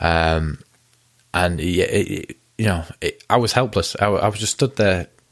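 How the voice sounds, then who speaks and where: A man's very deep, low voice at a fairly slow pace. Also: ordinary pitch variation. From England. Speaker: local podcast host. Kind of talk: casual monologue. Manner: halting, many fillers.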